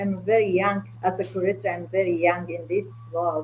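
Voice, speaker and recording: A woman keeps a moderate pace while noticeable background noise goes on behind her. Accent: Mongolian. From Mongolia. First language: Mongolian. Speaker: art curator. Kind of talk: interview conversation. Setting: video call, at home late at night. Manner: halting, many fillers.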